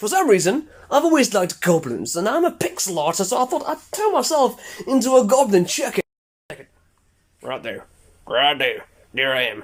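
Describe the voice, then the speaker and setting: The man talks at a fairly quick pace, his pitch swinging very widely. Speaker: pixel artist, online video creator. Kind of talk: casual, slangy. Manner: fast talker, rambles.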